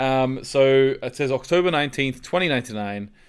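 A man speaks at a moderate pace in a plain, everyday voice. His pitch is medium. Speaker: podcast host. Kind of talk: casual chat. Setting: remote recording.

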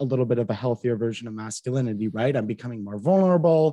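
A man with a Canadian accent and lively intonation, in a dry, close sound with no echo and a very clean recording with a silent background. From Canada, Ottawa area. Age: 20s. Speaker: radio marketing worker and mental health advocate. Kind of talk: casual interview chat.

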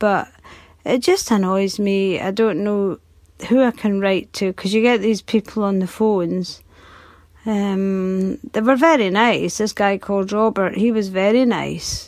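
A woman talks at a fairly slow pace with fairly even intonation and medium pitch. The recording is very clean, with a silent background. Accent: British. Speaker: listener. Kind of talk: voice message.

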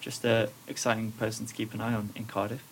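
Amid noticeable background noise, a man with a fairly low pitch speaks at a fairly quick pace. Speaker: podcast host. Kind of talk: casual chat. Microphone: quiet, low microphone level.

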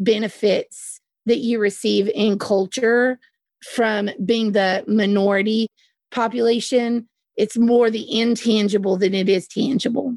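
A woman with a Southern US accent speaks in a fairly high pitch. Her pace is very slow, with a quiet background. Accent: Southern US drawl. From US South. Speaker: podcast co-host. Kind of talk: casual discussion podcast.

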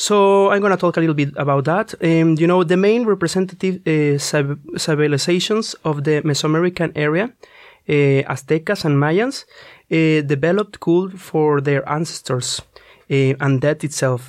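Over a quiet background, a man with a Spanish accent talks at a fairly high pitch with ordinary pitch variation. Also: moderate pace. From Mexico. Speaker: student radio presenter. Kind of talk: casual chat. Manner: halting, many fillers.

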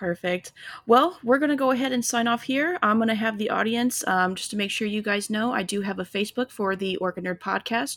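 A woman with an American accent talks at a fairly quick pace in an unremarkable speaking voice, her pitch fairly high and its variation ordinary. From Illinois. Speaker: podcast host. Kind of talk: interview.

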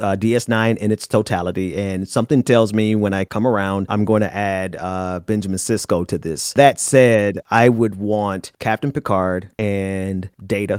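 In a normal speaking voice with an American accent, the speaker goes at a fairly slow pace with hardly any pauses, recorded very cleanly with a silent background and a dry, close sound with no echo. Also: man. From US South. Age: 40s. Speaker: political activist and podcast host. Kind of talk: casual chat.

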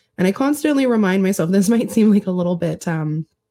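Somewhat breathy and dark, mellow in tone, a woman speaks at a moderate pace and medium pitch with lively intonation. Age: 30s. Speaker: podcast host. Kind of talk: interview.

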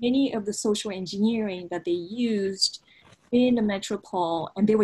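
A woman speaks at a moderate pace with a Japanese accent. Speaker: history professor and author. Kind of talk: academic interview conversation. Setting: remote call from office.

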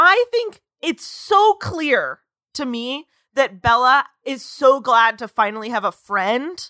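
A woman's high-pitched, raised, projected voice carries a bright, sharp tone and very wide pitch swings at a very slow pace, in a dry, close sound with no echo. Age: 20s. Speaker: podcast host. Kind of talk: casual chat.

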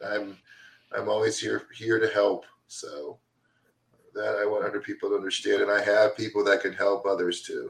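A man speaks with an American accent at a moderate pace, taking long, frequent pauses. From Florida, Deland near Daytona Beach. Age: 40s. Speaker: recovery advocate, nonprofit founder. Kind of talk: casual chat.

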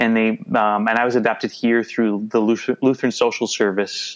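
The voice has a Minnesotan accent. It moves at a fairly quick pace. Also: man. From Minnesota, US. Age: 50s. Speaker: adoptee and photographer. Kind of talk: casual interview.

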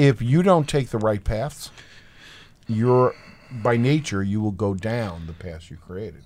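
With an ordinary speaking voice, a man talks at a medium pitch with lively intonation and big swings in loudness. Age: 60s. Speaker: podcast host and art educator. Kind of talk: casual chat.

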